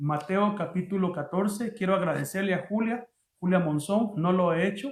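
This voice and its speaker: This is a man speaking. His pitch is high. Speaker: pastor. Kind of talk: sermon. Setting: online livestream. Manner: halting.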